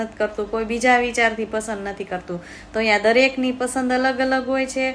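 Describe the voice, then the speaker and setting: Her voice sits high in pitch for a woman, with fairly even intonation. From Amreli, Saurashtra, Gujarat. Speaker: vlogger. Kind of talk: personal vlog monologue.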